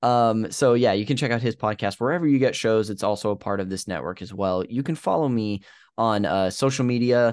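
A man speaks at a fairly quick pace in an ordinary speaking voice. His medium pitch shows ordinary pitch variation. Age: 30s. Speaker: podcast host. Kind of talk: show intro and outro; casual chat.

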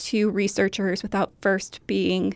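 Vocal fry from a woman with an American accent, medium pitch, a fairly slow pace and monotone, flat intonation, on a very clean recording with a silent background. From Minnesota, US. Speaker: archivist. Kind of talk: interview.

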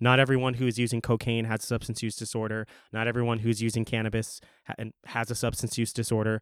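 In a very clean recording with a silent background, a man with an American accent talks at a very fast pace. His pitch sits at a medium level and his intonation is monotone and flat. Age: 30s. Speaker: city council member and podcaster. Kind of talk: interview.

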